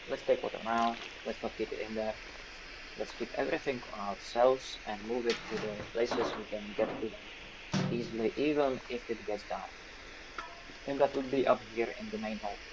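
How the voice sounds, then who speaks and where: Over noticeable background noise, a man talks at a moderate pace with medium pitch. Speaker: gaming streamer. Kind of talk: let's play commentary. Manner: stuttering; animated.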